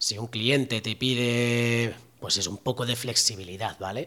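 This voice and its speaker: A man with a normal speaking voice and medium pitch talks at a fairly slow pace. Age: 40s. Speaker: podcast host and entrepreneur. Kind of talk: solo podcast talk. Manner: casual with many fillers.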